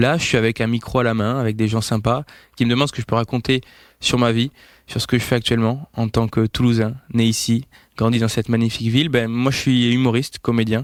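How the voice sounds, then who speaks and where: In a dry, close recording with no echo and a silent background, a man talks at a very fast pace in a medium pitch with monotone, flat intonation. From France, Toulouse. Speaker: comedian. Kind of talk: short self-presentation. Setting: handheld mic, recorded outside studio. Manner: hesitant with fillers.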